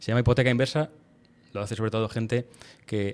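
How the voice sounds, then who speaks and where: Very fast and monotone, a man speaks with flat intonation at a fairly low pitch. The recording is very clean, with a silent background. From Madrid, Spain. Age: 40s. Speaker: lawyer. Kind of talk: podcast interview.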